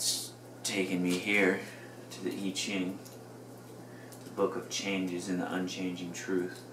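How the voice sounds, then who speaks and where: A man speaks at a very deep, low pitch in a monotone, flat intonation, at a fairly slow pace with long, frequent pauses. Audible room echo and noticeable background noise surround him. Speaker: video blogger. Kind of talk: casual monologue. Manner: mumbling; halting. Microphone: mic may not pick up well, quiet.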